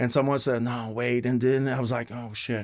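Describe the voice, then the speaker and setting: In a very clean recording with a silent background, a man with a Quebec French accent talks at a medium pitch and a moderate pace. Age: 40s. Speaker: retired pro wrestler. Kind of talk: casual chat.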